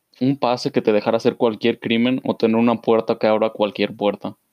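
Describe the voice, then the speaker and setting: Monotone, flat delivery at a moderate pace, in a dry, close sound with no echo. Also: man. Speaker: podcast co-host. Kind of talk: casual chat.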